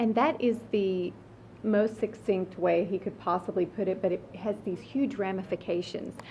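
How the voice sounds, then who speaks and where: A woman's somewhat breathy voice at a medium pitch and a moderate pace. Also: ordinary pitch variation. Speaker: radio host. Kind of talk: interview. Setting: hospital hallway. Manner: even-toned, quieter than usual.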